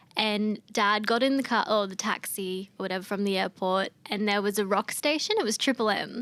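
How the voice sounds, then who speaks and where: With an Australian accent, a woman speaks with hardly any pauses and fairly even intonation. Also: medium pitch for a woman, moderate pace. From Australia (Queensland). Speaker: singer-songwriter. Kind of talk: interview chat. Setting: studio. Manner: casual, many fillers.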